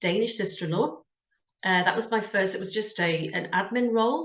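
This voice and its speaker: At a fairly quick pace, a woman with a British accent speaks with ordinary pitch variation. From UK. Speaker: career coach, job search business owner. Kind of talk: interview.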